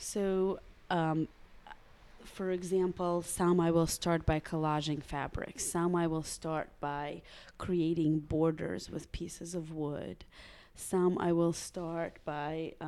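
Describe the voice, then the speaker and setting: A woman with a Russian accent talks at a very slow pace in a monotone, flat intonation. Her fairly low voice has a dark, mellow tone, in a very clean recording with a silent background. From Russia (Samara). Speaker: painter. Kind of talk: casual interview. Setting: artist's studio.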